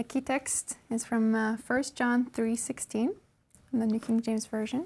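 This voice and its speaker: On a very clean recording with a silent background, a woman with a Norwegian accent speaks at a moderate pace in fairly even intonation. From Norway. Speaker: MBA student. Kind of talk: Bible study discussion; reading aloud.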